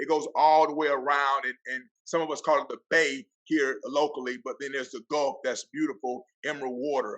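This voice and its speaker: This man has a Southern US accent. He speaks at a fairly quick pace. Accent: country accent, Southern. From Florida Panhandle, US South. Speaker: athletic director and football coach. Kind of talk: podcast interview. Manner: animated.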